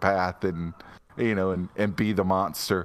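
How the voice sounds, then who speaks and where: A man with an ordinary speaking voice at a fairly low pitch, on a very clean recording with a silent background. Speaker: podcast co-host. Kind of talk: casual chat.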